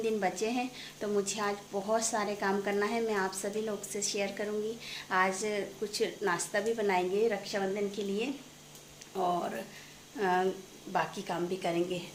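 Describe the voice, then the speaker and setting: Against noticeable background noise and audible room echo, a woman speaks at a medium pitch with monotone, flat intonation. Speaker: family vlogger. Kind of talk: casual vlog narration.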